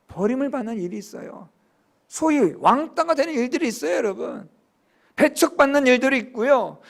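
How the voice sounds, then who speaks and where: A man speaks at a moderate pace in an extremely high pitch with lively intonation and big swings in loudness. The recording is very clean with a silent background. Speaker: pastor. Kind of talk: sermon.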